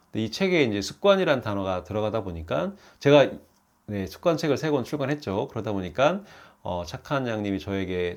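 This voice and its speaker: A man with a fairly low pitch speaks with lively intonation on a very clean recording with a silent background. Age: 50s. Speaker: YouTuber and habit author. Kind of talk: casual vlog monologue. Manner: hesitant, many fillers.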